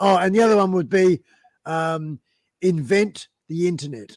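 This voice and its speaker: A man speaks with a high pitch and ordinary pitch variation. He leaves long, frequent pauses. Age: 60s. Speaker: musician and biker, live stream guest. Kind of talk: casual live-stream interview. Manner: halting, many fillers and restarts.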